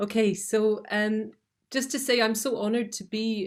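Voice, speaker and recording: A woman with a Scottish accent at a moderate pace. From Scotland. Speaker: documentary filmmaker. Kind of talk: prepared talk, partly read aloud. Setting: video call webinar. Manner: hesitant, many fillers.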